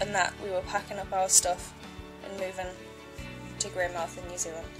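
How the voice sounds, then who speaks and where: A woman with an English accent, medium-pitched, fairly even intonation, music playing in the background. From Northern England. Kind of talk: personal life-story narration. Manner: shy, monotone.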